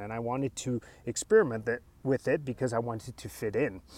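In a very clean recording with a silent background, a man with an American accent speaks at a medium pitch with a dark, mellow tone and ordinary pitch variation. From US, child of Spanish-speaking immigrants. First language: Spanish. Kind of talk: solo podcast monologue. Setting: outdoors in front of mountains.

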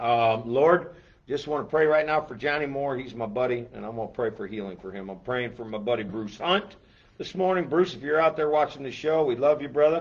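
The voice has lively intonation and an animated tone, moving at a moderate pace. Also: man. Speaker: church pastor hosting a Bible show. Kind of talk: casual Bible talk show. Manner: animated, raised voice.

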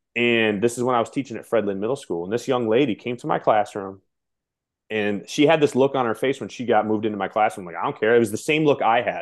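A man's voice at medium pitch, energetic in tone, talking very fast with ordinary pitch variation. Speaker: middle school teacher. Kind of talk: interview. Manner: animated.

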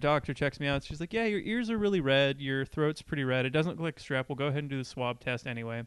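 A man uses a plain, everyday voice, pitched fairly high with ordinary pitch variation. The background is quiet. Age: 20s. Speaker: podcast co-host. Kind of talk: casual chat.

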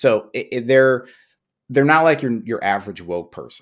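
This man has a medium pitch and an American accent, speaking at a moderate pace with ordinary pitch variation. The recording is very clean, with a silent background. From New York. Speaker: podcast host. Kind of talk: casual chat. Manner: halting, many restarts.

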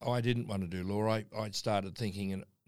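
Here a man with an Australian accent speaks in a fairly low pitch. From Darwin, Northern Territory, Australia. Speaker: mining company chairman. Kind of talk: interview.

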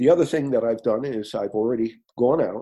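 A man with an American accent speaks at medium pitch in an ordinary speaking voice, with lively intonation and a fairly quick pace. The background is quiet. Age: 60s. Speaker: coffee company founder. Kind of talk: interview.

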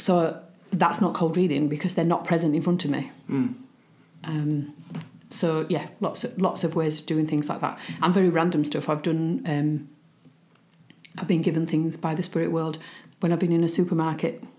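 A woman speaks in a fairly low, dark and mellow voice with a strong Yorkshire accent. Her intonation stays fairly even at a moderate pace, broken by long, frequent pauses. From Yorkshire, England. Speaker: spiritualist medium. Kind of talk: interview.

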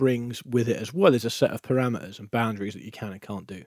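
A man's very fast speech at a medium pitch, with a dark, mellow tone. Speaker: football podcast host and producer. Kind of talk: interview. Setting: podcast studio.

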